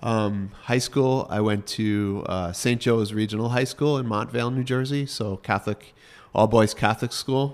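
Medium in pitch, a man talks with a Northeastern US accent. His intonation stays fairly even. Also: moderate pace. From US Northeast, Rockland County, New York. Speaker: watch company executive. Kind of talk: casual interview. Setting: trade show.

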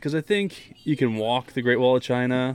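With music playing behind him, a man speaks in a mid-range pitch. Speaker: podcast host and father. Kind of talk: casual chat.

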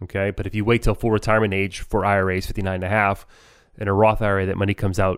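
A man speaks at a very fast pace with a fairly low pitch. The recording is very clean, with a silent background. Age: 40s. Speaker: financial advisor and podcast co-host. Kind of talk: casual educational chat.

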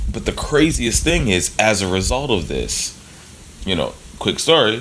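There is noticeable background noise in this clip. Through it, a man speaks at a fairly slow pace. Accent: American. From US Northeast, Philadelphia. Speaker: jazz drummer. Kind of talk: casual interview.

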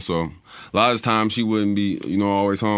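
Talking at a fairly quick pace, this man has a fairly low voice. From Detroit, west side. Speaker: rapper and painter. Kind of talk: casual interview chat.

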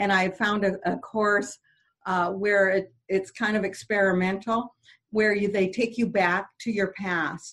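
Speaking at a fairly slow pace, a woman uses an ordinary speaking voice at medium pitch. Her intonation is fairly even and her loudness very even. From French Canadian background. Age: 60s. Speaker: motivational speaker and radio host. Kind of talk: interview; personal testimony.

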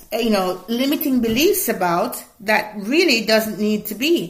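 Somewhat breathy and fairly high in pitch, a woman speaks with lively intonation amid audible room echo. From Jamaica. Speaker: career coach and podcast host. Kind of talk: casual coaching monologue. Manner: lively, energetic; frequent laughter.

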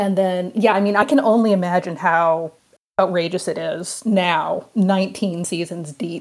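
This woman has a plain, everyday voice, medium in pitch, and talks at a moderate pace. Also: ordinary pitch variation. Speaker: archaeologist and TV producer. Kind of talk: casual chat.

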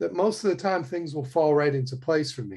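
A somewhat breathy man's voice with ordinary pitch variation against a quiet background. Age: 60s. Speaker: touring trumpet player. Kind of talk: casual interview conversation.

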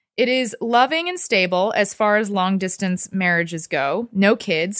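A woman's unremarkable speaking voice with an American accent, medium pitch, lively intonation and a moderate pace. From Texas. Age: 30s. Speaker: TV personality and author. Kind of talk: casual chat; reading aloud.

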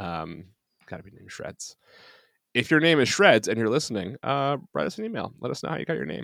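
Very fast speech with very wide pitch swings, vocal fry and big swings in loudness, in a dry, close, very clean recording with a silent background. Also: man. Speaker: podcast host. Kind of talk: casual chat.

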